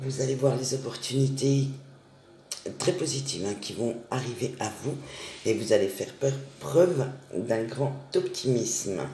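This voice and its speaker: A man uses a put-on character voice that is hoarse and medium in pitch, at a moderate pace. There are long, frequent pauses and audible echo. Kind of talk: calm, reassuring, advisory.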